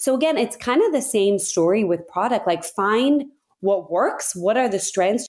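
Over a silent background in a very clean recording, a woman with a normal speaking voice and an American accent talks at a fairly high pitch with lively intonation. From Abu Dhabi, UAE; US from age ten. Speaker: business executive. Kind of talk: interview.

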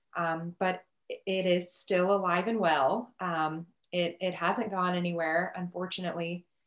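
In a Midwestern American accent, a woman talks at a fairly slow pace and a fairly low pitch with monotone, flat intonation. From Nebraska. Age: 30s. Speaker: ICU nurse. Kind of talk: casual chat.

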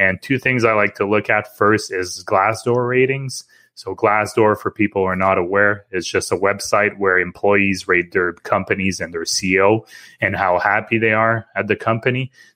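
This is a man with an ordinary speaking voice, pitched fairly low. He talks at a moderate pace with fairly even intonation. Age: 30s. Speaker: investing podcast host. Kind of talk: casual chat.

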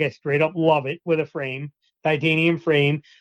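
With a plain, everyday voice, a man speaks at a moderate pace, fairly high in pitch and fairly even in intonation. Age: 40s. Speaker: hunting podcaster and gear enthusiast. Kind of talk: casual interview chat.

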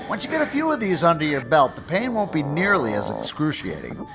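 A man puts on a character voice with vocal fry, a fairly high pitch and very wide pitch swings. He talks at a fairly quick pace over clear background noise.

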